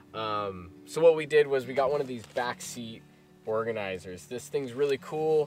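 A man's voice in a dry sound with no echo, with faint music in the background. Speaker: travel vlogger. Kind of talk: casual product walkthrough. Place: car.

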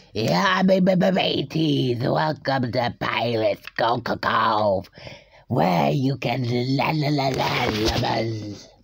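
A put-on character voice sits at a low-to-middle pitch. The delivery is very slow. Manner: cheerful, sing-song.

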